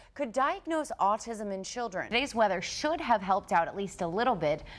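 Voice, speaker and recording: With lively intonation and fairly high pitch, a woman speaks in an unremarkable speaking voice on a very clean recording with a silent background. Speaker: TV news anchor and reporter. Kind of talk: TV news anchor and reporter read.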